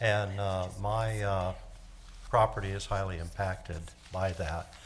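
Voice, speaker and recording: A man's somewhat breathy voice, monotone and flat in intonation, with audible room echo. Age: 80s+. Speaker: resident speaking at public comment. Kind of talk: public comment at council meeting. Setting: council chamber. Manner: hesitant, many fillers.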